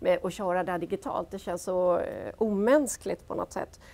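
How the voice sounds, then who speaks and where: With lively intonation and a dark, mellow tone, a woman talks at a moderate pace. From Gothenburg, western Sweden; Sweden. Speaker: business executive; guest. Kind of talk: panel discussion. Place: studio.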